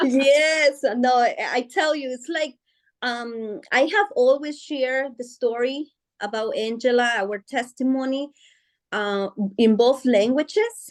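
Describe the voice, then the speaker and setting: Against a quiet background, a woman with a Guatemalan accent talks at a very slow pace and a high pitch, with ordinary pitch variation. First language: Spanish. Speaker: author. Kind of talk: interview. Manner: hesitant, many fillers.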